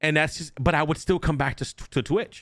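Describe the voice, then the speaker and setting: Over a silent background in a very clean recording, a man talks at a moderate pace with ordinary pitch variation. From New Jersey, US. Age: 30s. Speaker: streamer and podcast host. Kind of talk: casual chat. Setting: live stream. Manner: animated, repetitive with false starts.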